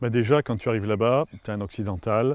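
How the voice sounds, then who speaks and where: Recorded very cleanly against a silent background, a man speaks at a fairly low pitch with ordinary pitch variation. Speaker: opera singer and former forester. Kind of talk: interview storytelling. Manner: halting, many repetitions.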